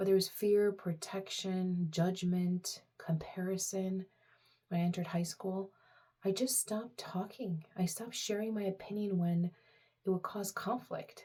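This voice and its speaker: Her voice is medium in pitch, somewhat breathy and dark and mellow in tone, with fairly even intonation. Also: moderate pace. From Romania, moved to US at seven. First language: Romanian. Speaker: personal vlogger. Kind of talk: casual personal talk to camera. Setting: talking to camera. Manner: halting, many fillers.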